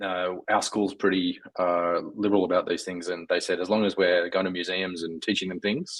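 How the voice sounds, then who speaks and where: In an Australian accent, a man talks at a moderate pace. His very deep, low voice stays monotone and flat. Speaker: software engineer. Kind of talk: casual chat. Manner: halting, many fillers.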